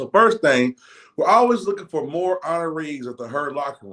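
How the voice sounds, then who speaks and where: A man talks at a fairly quick pace in a high voice, with very wide pitch swings. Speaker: talk show host for a football team. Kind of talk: show intro announcements. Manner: fast-talking; rolls his R's.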